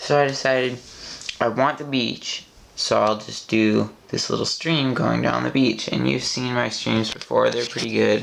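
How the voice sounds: Vocal fry runs through a fairly bright tone. The pace is fairly slow, and room echo is audible. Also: fairly even intonation.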